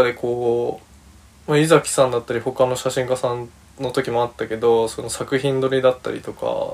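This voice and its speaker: A man with a medium pitch talks at a moderate pace, his loudness swinging widely. Noticeable background noise runs behind him. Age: 20s. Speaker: podcast host, freelance creative. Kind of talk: casual monologue. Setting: recording room with a friend present.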